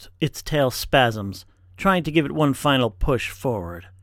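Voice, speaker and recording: Dramatic in tone, a man speaks at medium pitch with lively intonation on a very clean recording with a silent background. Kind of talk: horror narration. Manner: slow, ominous, dramatic delivery with tense, hushed menace.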